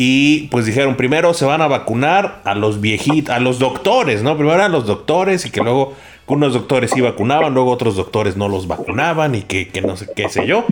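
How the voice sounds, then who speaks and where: With lively intonation and a medium pitch, a man talks at a fairly quick pace amid noticeable background noise. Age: 30s. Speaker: podcast producer. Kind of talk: casual chat. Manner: halting.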